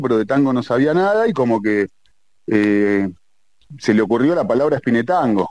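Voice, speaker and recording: Here is a plain, everyday voice from a man. He speaks at a moderate pace with lively intonation. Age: 40s. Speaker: tango singer. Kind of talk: interview.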